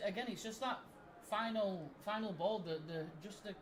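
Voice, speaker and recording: With a Yorkshire accent, the speaker is heard amid noticeable background noise and audible room echo. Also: man. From northern England, Barnsley (South Yorkshire). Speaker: football fan co-host of a watch party stream. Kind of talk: casual match-watching chat and commentary.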